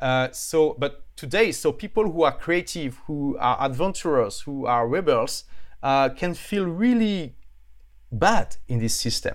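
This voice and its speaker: A man with a strong French accent at a fairly slow pace, lively intonation, very clean recording and silent background. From France. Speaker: author and entrepreneur. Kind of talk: casual interview. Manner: halting.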